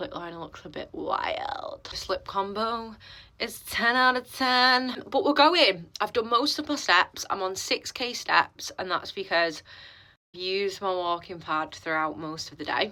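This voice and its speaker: A woman's fairly high voice at a fairly slow pace, with very wide pitch swings and big swings in loudness, on a very clean recording with a silent background. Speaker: fitness coach. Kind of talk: vlog. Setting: gym toilet. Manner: quiet; casual.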